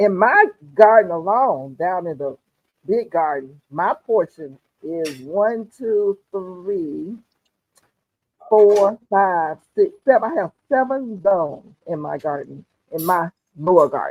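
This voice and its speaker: A woman at a very slow pace, with lively intonation and big swings in loudness. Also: medium pitch for a woman. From US South, Atlanta, Georgia. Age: 70s. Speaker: gardening livestream host. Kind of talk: casual chat. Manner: animated.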